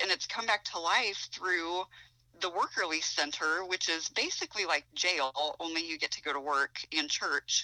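Speaking at a fairly slow pace, a woman with a Midwestern US accent has a fairly low pitch and a bright, sharp tone. The recording is very clean, the background silent. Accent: US Midwest. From Ohio. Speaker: author. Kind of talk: casual chat.

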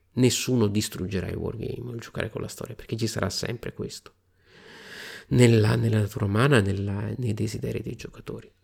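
Vocal fry runs through this fairly quick delivery, which has big swings in loudness. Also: man, fairly low pitch for a man. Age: 40s. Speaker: wargaming podcast host. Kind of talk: solo podcast monologue. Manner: animated.

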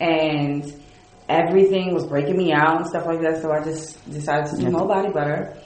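Against noticeable background noise, a woman speaks in a fairly low voice. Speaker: entrepreneur, dancer and actress. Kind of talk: casual chat, interview.

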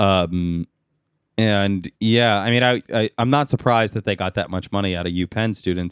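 At a moderate pace, a man with a normal speaking voice talks in a fairly low register with fairly even intonation. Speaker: podcast co-host. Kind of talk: casual chat.

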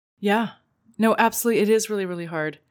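On a very clean recording with a silent background, a woman speaks in a normal speaking voice, fairly high in pitch with ordinary pitch variation. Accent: Canadian. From Canada. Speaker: podcast co-host, relationship coach. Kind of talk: casual chat.

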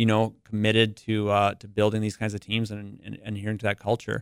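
A man with an Upper Midwest accent talks very fast at a fairly low pitch, the sound dry and close with no echo on a very clean recording with a silent background. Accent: Upper Midwest American. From North Dakota, US Upper Midwest. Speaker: biotech company executive. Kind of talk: interview. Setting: studio.

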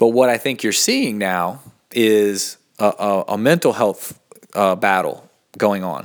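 Speaking fairly slowly with an American accent, a man uses a fairly low pitch and ordinary pitch variation. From US South, Asheville, North Carolina. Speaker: podcast host, meditation practitioner. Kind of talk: casual solo monologue. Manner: halting, many fillers; off the cuff.

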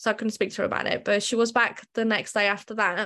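Very fast, monotone delivery with flat intonation in a British accent, set against a quiet background. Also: woman. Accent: British-sounding, evident. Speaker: tattoo artist. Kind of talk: casual interview, personal story.

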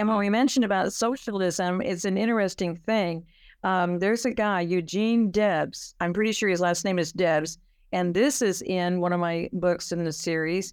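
A woman with an American accent speaks at medium pitch and a moderate pace, with ordinary pitch variation, in an unremarkable speaking voice. The recording is very clean, with a silent background. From California. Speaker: author. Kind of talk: interview.

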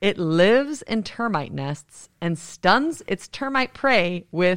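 Very slow speech with very wide pitch swings comes across on a very clean recording with a silent background. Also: woman. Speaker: producer, librarian. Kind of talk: casual chat.

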